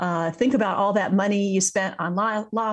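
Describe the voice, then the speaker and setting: In a US Midwestern accent, a somewhat breathy speaker goes at a moderate pace against a quiet background. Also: woman. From Iowa, US Midwest. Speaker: author and speaker. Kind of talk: interview.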